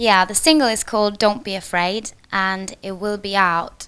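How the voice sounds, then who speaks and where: Here a woman talks with a Norwegian accent. Her pitch is medium. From Norway. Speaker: singer and actress. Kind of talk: on-set interview.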